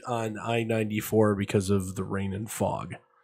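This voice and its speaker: A man's voice over background music. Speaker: sports podcast host. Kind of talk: casual sports talk show. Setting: live-streamed show. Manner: frequent throat clearing.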